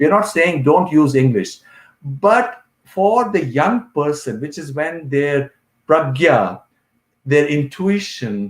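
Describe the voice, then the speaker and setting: Pitch swings very widely. The delivery is very slow. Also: man, fairly high pitch for a man. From India, Kashmir. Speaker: professor. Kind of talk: lecture.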